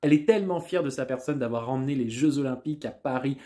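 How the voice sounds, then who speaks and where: A man is talking, and the background is quiet. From France. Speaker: stand-up comedian. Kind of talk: stand-up comedy, a rapid-fire political roast with punchlines and audience laughter. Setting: stage with audience. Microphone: phone near.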